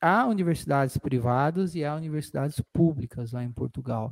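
A man with a fairly high pitch and a dark, mellow tone speaks at a moderate pace with lively intonation, in a dry, close sound with no echo. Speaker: podcast co-host, lawyer. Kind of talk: casual chat.

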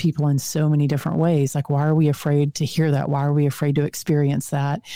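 A woman speaks at a fairly quick pace with a Texan accent. Her pitch is very deep and low. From Texas. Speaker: author and speaker. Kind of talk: casual interview chat. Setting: video call.

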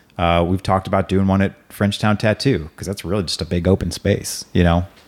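A man with an American accent and an unremarkable speaking voice, fairly low in pitch, fairly quick in pace, fairly even in intonation, in a very clean recording with a silent background. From US Midwest, St. Louis area (Hazelwood, Missouri). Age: 40s. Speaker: podcast host and insurance agent. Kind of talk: casual interview. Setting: home studio.

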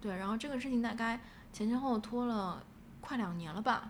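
In a room with audible echo, a woman speaks in a somewhat breathy voice with ordinary pitch variation. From Shanghai, China. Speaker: playwright. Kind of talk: interview conversation. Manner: halting, many fillers.

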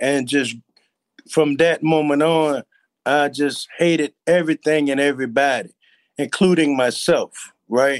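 A man speaks in a plain, everyday voice at a fairly slow pace, with very even loudness and fairly even intonation. The sound is dry and close, with no echo. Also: fairly high pitch for a man. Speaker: recovering addict and entrepreneur. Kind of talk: testimony.

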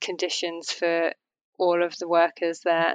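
In an English accent, a woman speaks slowly in a fairly low, monotone, flat voice, the sound dry and close with no echo. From England. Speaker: fashion model and activist. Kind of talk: interview conversation.

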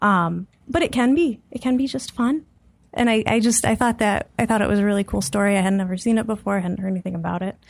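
A woman talks at a very fast pace and a medium pitch. Her voice is somewhat breathy. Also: ordinary pitch variation. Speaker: guest with theater degree, ops analyst. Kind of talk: casual chat. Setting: studio.

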